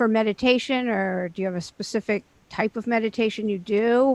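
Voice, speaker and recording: Fairly high-pitched woman with a normal speaking voice at a moderate pace, dry, close sound with no echo and a quiet background. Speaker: podcast host. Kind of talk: interview question.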